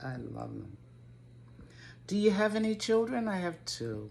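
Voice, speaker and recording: With audible room echo behind her, a woman with an American accent speaks very slowly, her pitch swinging very widely. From Connecticut, Waterbury. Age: 70s. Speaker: gardening YouTuber. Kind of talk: casual Q&A vlog. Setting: home video to camera. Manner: hesitant, with fillers.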